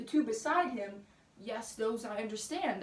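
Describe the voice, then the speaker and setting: Fairly high-pitched woman's voice, lively intonation, moderate pace, over noticeable background noise. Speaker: spoken word poet. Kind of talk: spoken word poetry.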